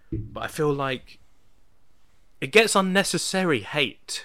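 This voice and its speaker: A man with a British accent, bright and sharp in tone, with lively intonation, in a very clean recording over a silent background. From Britain. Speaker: podcast host. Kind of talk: casual chat. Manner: halting.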